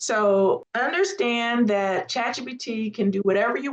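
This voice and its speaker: With an unremarkable speaking voice, a woman speaks at a fairly slow pace in a fairly high pitch, her pitch varying in an ordinary way. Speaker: AI prompting instructor. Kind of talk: live webinar workshop.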